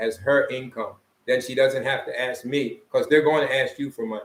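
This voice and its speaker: Speaking with a Philadelphia accent, a man talks at a moderate pace and medium pitch in a monotone, flat intonation. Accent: Philadelphia American English. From US, Philadelphia. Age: 60s. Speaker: vlogger, expat retiree. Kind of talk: casual chat. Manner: halting.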